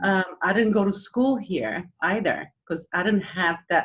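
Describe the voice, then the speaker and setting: The speaker uses lively intonation at a fairly slow pace, with a Romanian accent. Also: woman. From Romania, Transylvania. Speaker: former fitness magazine editor and restaurant owner. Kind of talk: panel talk, life story.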